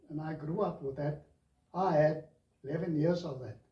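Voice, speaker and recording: A man talks with audible room echo. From South Africa. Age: 70s. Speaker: lay minister. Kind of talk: interview. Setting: studio.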